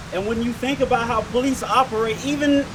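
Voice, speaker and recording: Someone speaks with an American accent at a moderate pace, keeping the intonation fairly even. Noticeable background noise runs under the voice. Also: man. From Detroit, Michigan, US. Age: 30s. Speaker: activist rally speaker. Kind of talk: rally speech.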